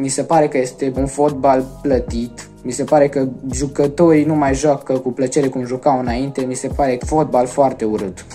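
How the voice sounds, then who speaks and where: Faint music plays in the background as a man speaks with hardly any pauses and fairly even intonation. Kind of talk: interview answer. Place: home room. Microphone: phone near.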